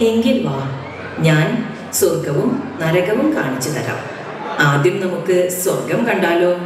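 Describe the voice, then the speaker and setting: A put-on character voice at middle pitch comes at a fairly slow pace, with clear echo and loud background noise. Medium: stage play. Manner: calm, firm.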